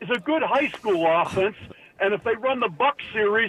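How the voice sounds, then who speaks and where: High-pitched for a man, the speaker talks at a moderate pace with ordinary pitch variation over noticeable background noise. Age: 80s+. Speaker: caller. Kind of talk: call-in to sports radio. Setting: phone call. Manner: halting.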